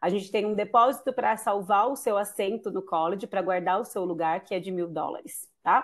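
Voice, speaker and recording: A woman talks in an ordinary speaking voice at a medium pitch. She goes at a fairly quick pace with hardly any pauses and ordinary pitch variation. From Brazil. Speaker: international student recruiter. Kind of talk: webinar presentation. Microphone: video call.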